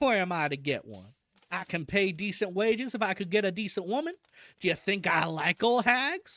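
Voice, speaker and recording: In a put-on character voice, the speaker sounds gruff at a middle pitch and a moderate pace. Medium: virtual streamer. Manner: gruff, rough colloquial speech.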